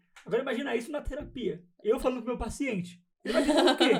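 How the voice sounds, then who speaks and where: A man talks at a very fast pace. His pitch is extremely high. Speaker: psychologist. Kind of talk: casual chat. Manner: stutter.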